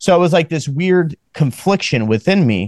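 A man talks in an ordinary speaking voice at a moderate pace, with lively intonation. The sound is dry and close with no echo, and the background is quiet. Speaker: podcast host. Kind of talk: casual chat.

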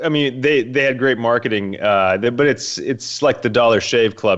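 A man speaks at a moderate pace. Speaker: podcast host and futurist. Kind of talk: podcast intro and interview answers.

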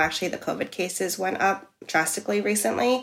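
A woman in a New York accent, fairly low-pitched, at a fairly quick pace. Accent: New York American. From US, New York City. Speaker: expat living in Amsterdam. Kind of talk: casual interview.

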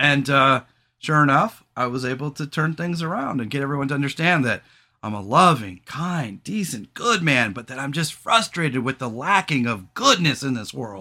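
A man talks loudly at a moderate pace and medium pitch. His tone is bright and sharp, with lively intonation.

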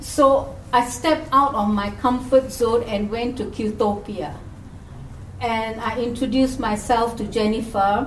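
A woman speaks with fairly high pitch and fairly even intonation. Noticeable background noise runs behind her. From Singapore. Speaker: minister. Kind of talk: panel discussion. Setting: stage with audience.

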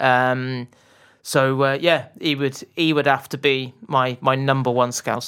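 Speaking with a slight West Country accent, a man delivers his lines at a medium pitch in a monotone, flat way, in a very clean recording with a silent background. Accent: southwest English (West Country), slight. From Bath, southwest England. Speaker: football journalist. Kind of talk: casual interview chat. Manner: hesitant, many fillers and restarts.

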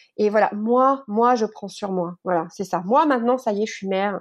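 At a medium pitch, a woman speaks at a fairly slow pace. Her pitch varies in an ordinary way against a quiet background. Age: 30s. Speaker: author and teacher. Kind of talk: interview. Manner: halting, many repetitions and fillers.

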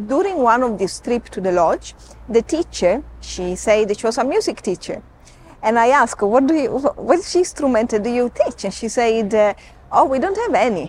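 A woman speaks with an Italian accent, her pitch swinging very widely. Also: fairly high pitch for a woman, moderate pace. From Sicily, Italy. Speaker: safari guide. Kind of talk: interview. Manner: halting.

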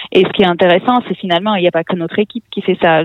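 A woman speaks with a fairly low pitch. Her pitch variation is ordinary. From Russia (born in Armenia). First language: Russian (speaking French). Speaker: tech education executive and author. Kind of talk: interview. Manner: halting, many hesitations.

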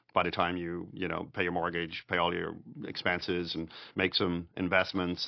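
A man with a Dublin accent speaks at a moderate pace. His voice is very deep and low. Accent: Irish (Dublin). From Ireland, Dublin. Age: 50s. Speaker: podcast co-host, real estate investor. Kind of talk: casual chat.

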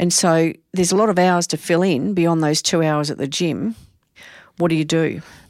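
A woman with an Australian accent, fairly low in pitch and fairly even in intonation, at a moderate pace on a very clean recording with a silent background. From Australia, Adelaide. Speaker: psychology professor. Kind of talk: casual interview.

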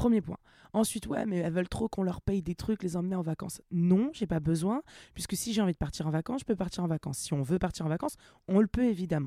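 Talking at a very fast pace, a woman uses a medium pitch with ordinary pitch variation, recorded with a dry, close sound and no echo. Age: 30s. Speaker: body-positivity content creator. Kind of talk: casual chat.

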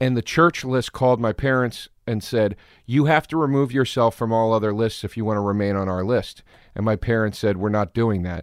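A man at a medium pitch with ordinary pitch variation and a fairly quick pace, a normal speaking voice, in a dry, close sound with no echo. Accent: American. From Pennsylvania, Philadelphia suburbs. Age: 30s. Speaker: comedian. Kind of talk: casual chat.

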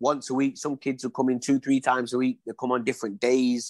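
A man with an East Midlands accent is heard in a very clean recording with a silent background, the sound dry and close with no echo. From Leicester, England. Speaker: former professional boxer. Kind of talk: casual interview.

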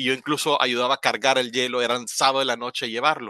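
The delivery is very fast, with a bright, sharp tone and ordinary pitch variation. The sound is dry and close with no echo. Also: man. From Honduras, La Ceiba. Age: 40s. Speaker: marketing director. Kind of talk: interview.

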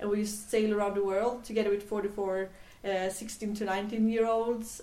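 A woman speaks fairly slowly in a Swedish accent. Her medium-pitched voice has a dark, mellow tone and flat, monotone intonation. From Sweden, island near Gothenburg (west coast). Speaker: tech entrepreneur. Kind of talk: interview. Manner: halting, many fillers.

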